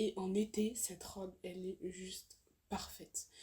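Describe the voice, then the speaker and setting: A somewhat breathy woman's voice, medium in pitch, with monotone, flat intonation at a fairly slow pace. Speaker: fashion YouTuber. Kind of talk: casual haul video talk to camera. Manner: hesitant, many fillers.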